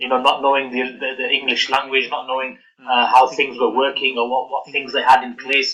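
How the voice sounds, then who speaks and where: A man's medium-pitched voice, monotone and flat, at a fairly quick pace with hardly any pauses. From northern England, Rochdale, Greater Manchester. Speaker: guest speaker on migration heritage. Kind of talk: talk to exhibition audience. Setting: open exhibition event. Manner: hesitant, many fillers.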